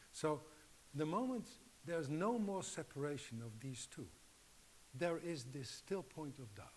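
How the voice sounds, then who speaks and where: In a room with audible echo, a man with a Dutch accent speaks at a moderate pace, his fairly high pitch somewhat breathy and his intonation lively. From Netherlands. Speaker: acupuncture teacher. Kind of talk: lecture. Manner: halting.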